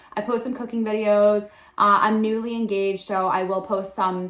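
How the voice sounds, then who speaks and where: With noticeable background noise behind her, a woman keeps fairly even intonation at a medium pitch. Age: 20s. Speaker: content creator. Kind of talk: casual vlog introduction. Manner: chatty, filler-heavy.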